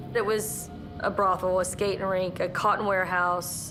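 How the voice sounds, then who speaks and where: Over music in the background, a woman talks at a moderate pace in a medium pitch with monotone, flat intonation. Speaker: hotel owner. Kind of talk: interview answer.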